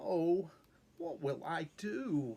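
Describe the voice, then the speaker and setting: This woman uses a put-on character voice with a fairly low pitch. Her pitch swings very widely. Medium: read story.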